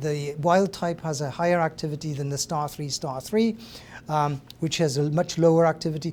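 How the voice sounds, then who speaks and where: A high-pitched man with a Welsh accent, talking at a moderate pace. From Wales. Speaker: professor. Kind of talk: lecture. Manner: halting.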